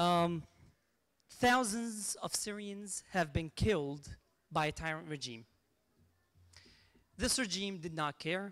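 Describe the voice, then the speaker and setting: Over a very clean recording with a silent background, a man with a high pitch and lively intonation talks at a very slow pace with long, frequent pauses. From Syria (Qamishli). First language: Aramaic and Arabic. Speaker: activist speaker. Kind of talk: memorial speech. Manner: impassioned.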